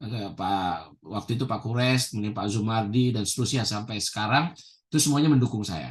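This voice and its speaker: An unremarkable speaking voice from a man, medium in pitch with ordinary pitch variation, at a fairly quick pace over a quiet background. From Indonesia. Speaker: professor. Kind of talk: interview. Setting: video call.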